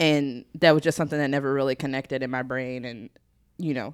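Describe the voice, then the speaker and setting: With a Southern US accent, a woman speaks at a fairly quick pace. Her pitch is very deep and low. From US South. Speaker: former church intern. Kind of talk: casual chat.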